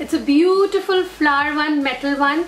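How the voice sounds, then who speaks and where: A woman's high-pitched voice at a fairly slow pace and fairly even intonation, with audible room echo and light background noise. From India. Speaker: beauty vlogger. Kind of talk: product haul video. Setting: in an auto rickshaw. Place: home room. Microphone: phone near.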